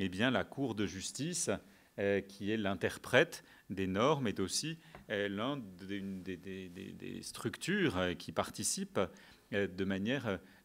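Long, frequent pauses mark a man's very slow speech at a fairly low pitch. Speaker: debate moderator. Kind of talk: lecture. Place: hall. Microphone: podium.

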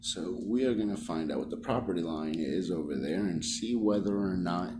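Background music under a man talking. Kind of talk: explanation to clerk. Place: office. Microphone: phone near.

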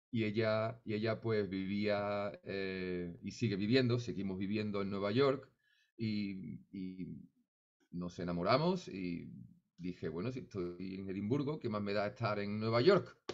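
A man's fairly slow speech, fairly low in pitch, with ordinary pitch variation. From Seville, Andalusia, Spain; Andalusia, Spain. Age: 50s. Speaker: flamenco musician; interviewee. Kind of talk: interview. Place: home room. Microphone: studio mic.

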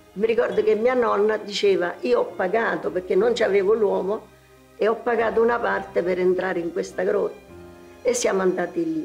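A woman speaks at a moderate pace over faint music in the background. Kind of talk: interview answer. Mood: somber recollection. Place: home room.

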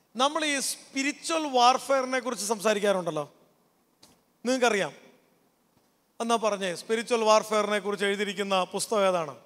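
High pitch for a man, paired with ordinary pitch variation. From Kerala, Kottayam; Kerala, India. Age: 40s. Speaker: pastor and counsellor; pastor. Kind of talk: youth camp talk. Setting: stage with audience. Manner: interactive, conversational. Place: stage. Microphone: handheld.

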